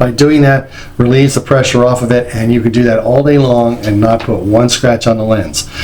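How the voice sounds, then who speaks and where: Speaking at a fairly quick pace with fairly even intonation, a man with an American accent is heard over noticeable background noise and audible room echo. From New Jersey. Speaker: company president and trainer. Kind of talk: training lecture. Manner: fast.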